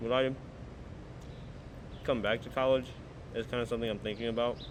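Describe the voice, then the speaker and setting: A man talks at a very fast pace in a medium pitch. His intonation stays flat and monotone. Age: 20s. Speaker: vlogger, graduating college student. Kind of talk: casual vlog monologue. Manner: halting.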